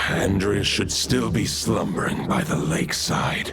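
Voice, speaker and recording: Over loud background noise, a man does a cartoonish character voice at a moderate pace. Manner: solemn, archaic formal speech.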